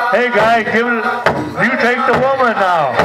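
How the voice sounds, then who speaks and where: A man speaks at a fairly slow pace with crowd noise in the background. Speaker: dance announcer. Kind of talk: commentary. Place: open country.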